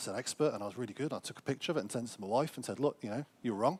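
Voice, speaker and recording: Medium-pitched male speech with ordinary pitch variation. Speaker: financial intelligence officer, former police officer. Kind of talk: conference presentation. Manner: fast.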